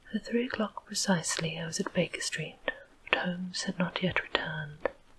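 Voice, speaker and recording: A soft-spoken woman with an English accent and a fairly low pitch talks at a moderate pace over noticeable background noise. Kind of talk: audiobook reading.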